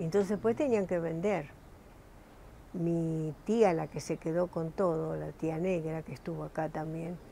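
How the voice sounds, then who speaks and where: A woman speaks at a fairly slow pace with a dark, mellow tone and fairly low pitch. Her intonation is fairly even, and the sound is dry with no echo over light background noise. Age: 80s+. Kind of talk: interview answer. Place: home room. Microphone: lapel.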